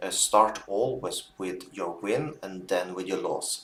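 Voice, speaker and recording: Noticeable background noise accompanies a man with a non-native accent and a fairly low pitch who speaks at a fairly slow pace with ordinary pitch variation. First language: not English. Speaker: binary options trader streamer. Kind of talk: live trading stream commentary. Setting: live stream with chat. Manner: halting, with filler words.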